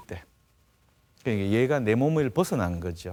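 A man's dark, mellow voice at a very fast pace, with very wide pitch swings. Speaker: dermatology professor. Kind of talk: medical TV interview explanation.

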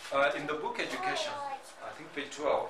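Noticeable background noise sits behind a man's talking. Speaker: presenter. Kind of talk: sermon-like lecture. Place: meeting room. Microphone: camera far.

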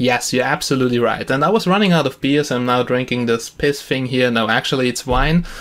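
A man talks at a fairly quick pace with a medium pitch. His tone is fairly bright, with ordinary pitch variation.

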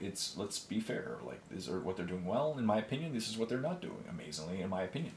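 Talking at a very fast pace, a man with a fairly low pitch is heard through audible room echo and light background noise. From Canada. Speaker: miniature painting YouTuber. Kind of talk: casual solo talk while painting. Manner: animated.

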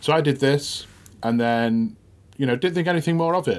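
A man talks at a fairly quick pace in an unremarkable speaking voice with ordinary pitch variation. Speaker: music journalist. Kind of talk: podcast storytelling. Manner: casual, anecdotal.

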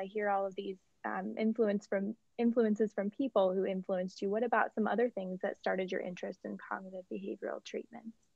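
A normal speaking voice with ordinary pitch variation. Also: woman. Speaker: interviewer. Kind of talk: interview.

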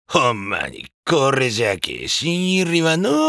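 A man's put-on character voice, fairly high in pitch, with very wide pitch swings and a fairly slow pace. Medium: audio drama. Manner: rough, intimidating.

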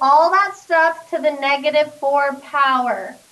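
Raised and projected, a woman's high-pitched voice has a bright, sharp tone and ordinary pitch variation. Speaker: math teacher. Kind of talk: classroom lecture. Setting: classroom with students. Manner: conversational, checks in with class.

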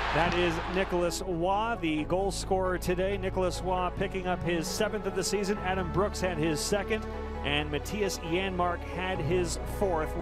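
A man speaks at a moderate pace with hardly any pauses, in a dry sound with no echo and clear music in the background. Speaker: hockey radio play-by-play announcer. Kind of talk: live hockey play-by-play radio call. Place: stadium. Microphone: headset.

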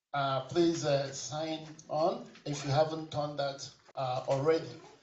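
A man speaks with fairly even intonation. Light background noise and audible room echo are present. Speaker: workshop organizer; session host or moderator. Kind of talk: closing remarks. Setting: stage with audience. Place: hall.

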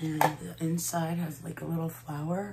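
The delivery is fairly slow, with monotone, flat intonation. Noticeable background noise sits behind the speech. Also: woman. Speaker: beauty vlogger. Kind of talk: casual makeup tutorial chat. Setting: at home. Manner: hesitant, frequent filler words.

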